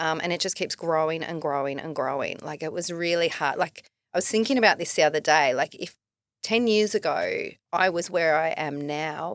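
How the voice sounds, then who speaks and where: A woman with a fairly low voice and ordinary pitch variation talks at a moderate speed. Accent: Australian. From Melbourne, Australia. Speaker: filmmaker and writer. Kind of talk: casual interview chat.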